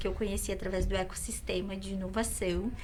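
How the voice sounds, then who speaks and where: There is audible room echo and noticeable background noise as a woman speaks at a moderate pace. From Caxias do Sul, Rio Grande do Sul, Brazil. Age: 30s. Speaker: entrepreneur and event organizer. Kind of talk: podcast interview.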